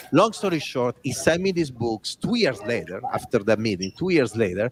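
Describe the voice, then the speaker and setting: A man with an Italian accent talks with lively intonation over noticeable background noise. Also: dry, close sound with no echo. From Italy. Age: 40s. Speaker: design executive and author. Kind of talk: interview storytelling.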